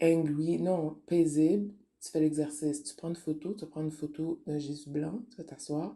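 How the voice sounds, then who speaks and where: In a Quebec accent, a woman speaks at a fairly slow pace with a very deep, low pitch, a dark, mellow tone and fairly even intonation. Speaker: spiritual online radio host. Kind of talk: spiritual talk monologue. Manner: casual, code-switching French and English.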